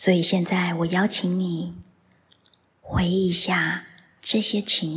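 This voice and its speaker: The tone is soothing and gentle. The delivery moves at a very slow pace. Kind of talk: guided meditation. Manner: slow, soft and soothing, with long pauses; gentle, calm, directive.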